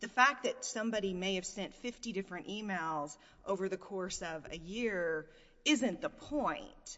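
Speaking at a fairly slow pace, a woman with an unremarkable speaking voice keeps a medium pitch and lively intonation. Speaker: appellate lawyer. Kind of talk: oral argument. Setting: courtroom.

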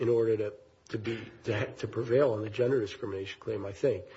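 In a somewhat breathy voice, a man speaks at a fairly quick pace. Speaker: appellate judge. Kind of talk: judicial questioning. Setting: courtroom.

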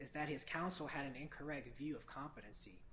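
A man speaks in an unremarkable speaking voice, fairly high in pitch, with ordinary pitch variation. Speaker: defense attorney. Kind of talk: appellate oral argument. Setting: courtroom. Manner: formal.

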